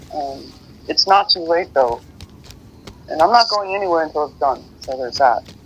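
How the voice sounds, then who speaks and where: A man with a high pitch and lively intonation speaks at a moderate pace, leaving long, frequent pauses. His loudness swings widely, and there is noticeable background noise. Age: 50s. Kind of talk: casual chat.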